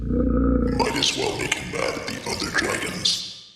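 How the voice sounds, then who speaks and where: A man puts on a character voice at a fairly slow pace. Strong echo surrounds it. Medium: read story. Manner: wry, conspiratorial asides.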